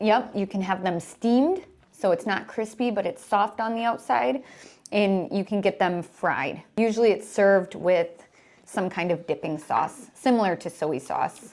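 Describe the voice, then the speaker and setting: This woman speaks at a moderate pace with a medium pitch and ordinary pitch variation. It is a normal speaking voice. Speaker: English teacher. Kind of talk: casual talk to camera.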